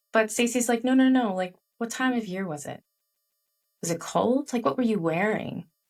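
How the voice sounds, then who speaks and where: A woman's fairly high voice at a moderate pace, lively in intonation, with long, frequent pauses and music in the background. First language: Chinese. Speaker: author and leadership coach. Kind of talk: podcast interview. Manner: animated.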